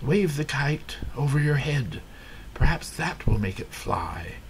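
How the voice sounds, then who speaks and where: Over clear background noise, a man puts on a character voice pitched fairly high and speaks at a fairly slow pace. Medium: read story. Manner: calm, reassuring.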